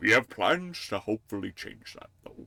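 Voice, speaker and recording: A man's put-on character voice in a dry, close sound with no echo. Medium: game stream. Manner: genial, conspiratorial.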